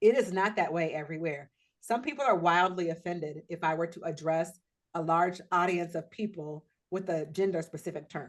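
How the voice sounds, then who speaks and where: A woman speaks in an American accent with a fairly low pitch and ordinary pitch variation. She has a plain, everyday voice and talks at a fairly quick pace. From US Pacific Northwest. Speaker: diversity trainer. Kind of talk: workshop training. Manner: conversational.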